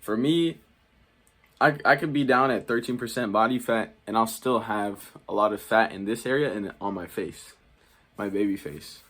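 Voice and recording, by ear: This man has a fairly low pitch and a fairly bright tone. He speaks at a moderate pace with ordinary pitch variation.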